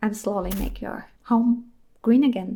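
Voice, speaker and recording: This woman has a fairly high-pitched voice. She speaks with a German accent. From Germany. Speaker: indie game developer and VTuber. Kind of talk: casual devlog narration. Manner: animated.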